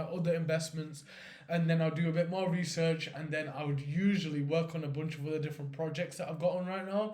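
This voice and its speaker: The voice belongs to a man with fairly high pitch. Audible room echo surrounds it. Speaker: finance vlogger. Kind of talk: casual vlog monologue. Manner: animated; unscripted, unedited.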